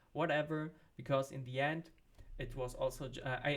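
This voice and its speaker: A man speaks in a fairly high, somewhat breathy voice with fairly even intonation. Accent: German. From Germany. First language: not English (third language). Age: 30s. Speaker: vlogger, marketing professional. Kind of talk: casual personal vlog. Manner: hesitant, with fillers.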